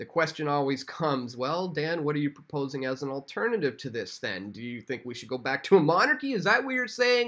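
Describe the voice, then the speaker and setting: A man talks at a fairly quick pace with a fairly high pitch. His intonation is lively, and the background is quiet. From Canada. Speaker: independent online news commentator; independent news commentator. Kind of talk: political commentary video. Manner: frequent fillers and hesitations. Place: home room.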